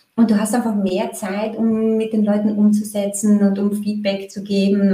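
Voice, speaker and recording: A woman's somewhat breathy, dark, mellow voice at a medium pitch and a moderate pace. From Austria, Graz. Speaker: marketing consultant. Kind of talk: casual interview.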